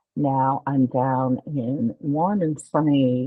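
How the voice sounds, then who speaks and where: A woman speaks with a very deep, low pitch. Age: 60s. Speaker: life coach. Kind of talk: casual interview chat. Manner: hesitant, many fillers.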